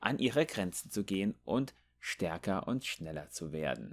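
The recording is very clean, and the background is silent. A man talks fairly slowly in a fairly low voice. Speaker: gaming youtuber. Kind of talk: reading out game lore text aloud, in a narration style, with commentary before and after; casual gaming commentary. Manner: casual and chatty, animated.

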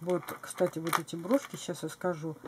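The pace of the speech is moderate. Noticeable background noise can be heard. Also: woman. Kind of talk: casual show-and-tell vlog. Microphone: camera far.

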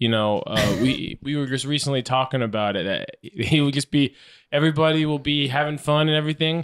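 Against a quiet background, a man with an ordinary speaking voice talks at a moderate pace and a fairly high pitch, with ordinary pitch variation. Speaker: podcast co-host. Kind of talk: casual chat. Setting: studio with a live audience. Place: home room. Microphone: handheld.

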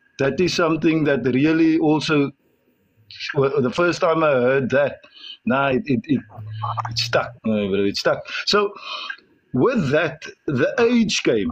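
Very wide pitch swings come at a very slow pace, with very even loudness. Long, frequent pauses fall throughout, over a quiet background. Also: man, fairly high pitch for a man. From South Africa. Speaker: guest. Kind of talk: interview. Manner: hesitant, many fillers. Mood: warm, smiling. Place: car. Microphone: video call.

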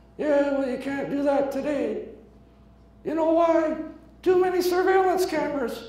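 In a put-on character voice at extremely high pitch, a man speaks at a moderate pace with long, frequent pauses and a clear echo. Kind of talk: comic ventriloquist act. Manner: grumpy, cranky.

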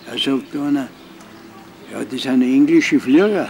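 Over light background noise, a man with a Bavarian accent speaks very slowly with ordinary pitch variation. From Altötting, Bavaria, Germany. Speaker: Second World War veteran, eyewitness. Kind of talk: interview answer. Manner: casual dialect storytelling. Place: garden.

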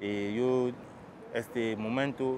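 A man speaks at a medium pitch. The sound is dry with no echo, over noticeable background noise. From Guinea. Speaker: refugee. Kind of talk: testimony. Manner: halting, many fillers and repetitions. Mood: serious, reflective. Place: waterside.

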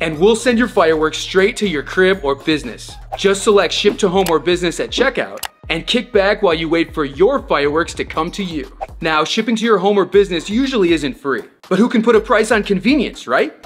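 Over faint music in the background, the speech moves at a fairly quick pace. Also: man. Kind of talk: promotional explainer. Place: studio.

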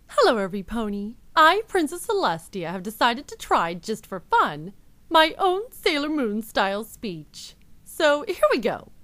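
This is a put-on character voice that sounds female, pitched high. It swings very widely in pitch. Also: moderate pace. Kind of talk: dramatic heroine speech.

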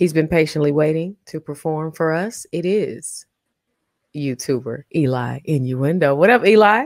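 Over a quiet background, a woman with a very deep, low pitch speaks at a fairly slow pace with lively intonation, the sound dry with no echo. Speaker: talent show host. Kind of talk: casual livestream chat. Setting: video call. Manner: animated. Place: home room. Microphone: studio mic.

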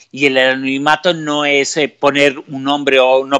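A man in a slight Aragonese accent, monotone and flat, over a quiet background. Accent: slight Aragonese touch. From Spain, Aragon (Zaragoza); Aragon, Spain. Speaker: mystery researcher and radio journalist; interview guest. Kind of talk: interview. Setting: live stream. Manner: hesitant, many fillers. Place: home room. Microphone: earbuds.

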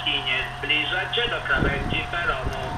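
A man speaks at a fairly slow pace. Music plays behind him. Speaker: station announcer. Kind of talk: public address announcement. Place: station.

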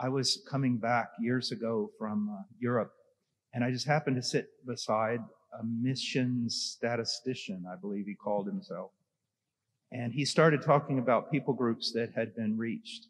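A man at a moderate pace, with ordinary pitch variation and a quiet background. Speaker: conference panelist. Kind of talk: panel discussion answer. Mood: earnest, anecdotal. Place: hall. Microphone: handheld.

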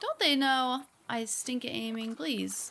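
A high-pitched woman's voice with an American accent at a fairly slow pace, against noticeable background noise. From US Midwest, Ohio. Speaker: gaming streamer. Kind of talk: let's play commentary. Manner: animated.

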